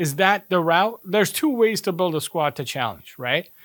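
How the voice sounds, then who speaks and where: In an American accent, a man talks in an animated tone at a high pitch, the sound dry and close with no echo on a very clean recording with a silent background. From USA. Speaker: football pundit. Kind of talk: casual chat.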